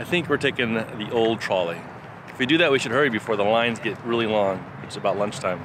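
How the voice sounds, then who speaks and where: The speech comes very fast, with ordinary pitch variation and big swings in loudness. The sound is dry with no echo, with noticeable background noise. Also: man. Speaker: family travel vlogger. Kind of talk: casual vlog chat. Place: waterside. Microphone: phone near.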